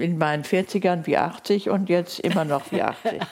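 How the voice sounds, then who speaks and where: The speech moves at a fairly slow pace with fairly even intonation. Noticeable background noise is audible. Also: woman. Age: 70s. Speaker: linguist and author. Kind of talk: interview. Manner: quiet, not loud.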